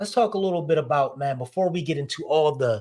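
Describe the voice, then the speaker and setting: Over a very clean recording with a silent background, a man talks at a fairly quick pace in a fairly high, somewhat breathy voice with lively intonation. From North Philadelphia, US. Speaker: podcast host. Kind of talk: casual interview.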